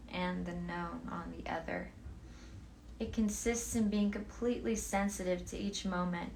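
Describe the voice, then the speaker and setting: With noticeable background noise behind her, a woman talks at a fairly slow pace in a soothing tone. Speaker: book reader. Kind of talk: philosophy book reading.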